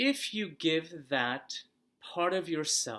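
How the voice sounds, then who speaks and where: The speech is mumbled. The recording is very clean, with a silent background. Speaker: holistic massage practitioner. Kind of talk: casual talk to camera. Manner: unscripted, some mumbling.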